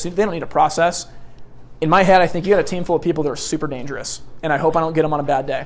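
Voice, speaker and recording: Loud and very fast, a man speaks at a high pitch. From US Pacific Northwest, Portland Oregon. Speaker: sales trainer. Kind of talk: seminar lecture. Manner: loud and fast.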